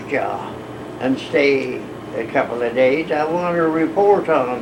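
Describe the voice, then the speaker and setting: Noticeable background noise runs under a man talking at a fairly slow pace. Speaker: grandfather. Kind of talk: interview answer.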